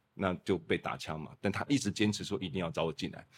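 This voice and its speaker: Recorded very cleanly against a silent background, a man with a normal speaking voice and a fairly low pitch speaks at a fairly quick pace. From Taiwan (Kaohsiung). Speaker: lighting designer. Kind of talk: casual chat.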